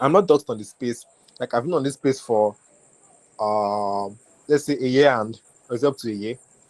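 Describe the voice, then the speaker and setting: A man with a Nigerian accent and ordinary pitch variation, in a dry, close sound with no echo. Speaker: web3 community builder. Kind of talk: webinar talk. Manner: casual, conversational.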